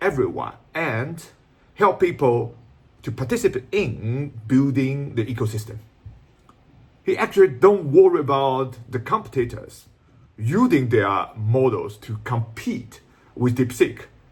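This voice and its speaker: Pausing long and often, a man with a Shanghai accent and medium pitch speaks fairly slowly, somewhat breathy, with lively intonation. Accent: Chinese (Shanghai) accent in English. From China, Shanghai. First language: Chinese. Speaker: YouTuber explaining Chinese tech and business. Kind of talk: video commentary. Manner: non-native, somewhat halting English.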